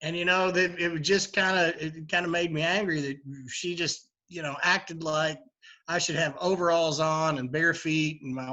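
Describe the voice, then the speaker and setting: A man speaks with a strong Kentucky accent. His pitch is fairly high for a man. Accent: heavy Kentucky. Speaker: bourbon bar owner. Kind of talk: interview. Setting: live virtual event. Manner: halting, many fillers.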